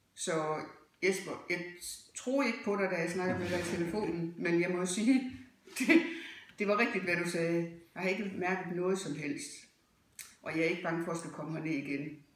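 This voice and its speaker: A woman with a fairly low pitch speaks at a moderate pace, pausing long and often, with ordinary pitch variation. Noticeable background noise and audible room echo fill the recording. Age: 60s. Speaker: dental patient. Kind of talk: testimonial.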